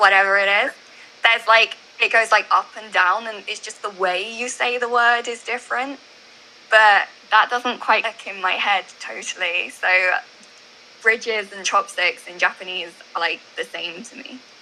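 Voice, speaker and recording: Noticeable background noise sits behind a woman with a north-west English accent. Her pitch is fairly high, her intonation fairly even and her pace moderate. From England. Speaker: YouTuber. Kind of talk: casual interview answer.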